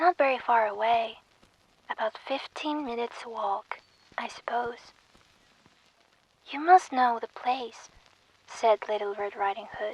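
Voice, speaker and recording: Soft-spoken and gentle in tone, this voice moves at a fairly slow pace with long, frequent pauses. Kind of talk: soft bedtime story reading, ASMR. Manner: soft, gentle.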